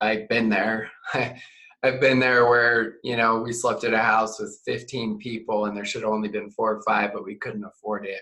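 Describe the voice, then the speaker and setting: With an American accent, a man speaks at a medium pitch and moderate pace in a bright, sharp tone, his intonation monotone and flat, with hardly any pauses. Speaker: network marketing trainer. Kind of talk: interview. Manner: soft-spoken; calm.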